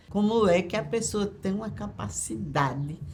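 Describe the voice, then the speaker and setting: Somewhat breathy, this voice moves at a very slow pace with lively intonation. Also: woman. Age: 70s. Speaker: retired schoolteacher, interviewee. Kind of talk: documentary interview. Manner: halting, with repetitions.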